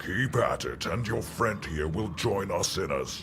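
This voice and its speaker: Loud background noise sits behind a man's put-on character voice. He speaks fairly slowly at a fairly low pitch. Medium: video game. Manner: mocking, menacing.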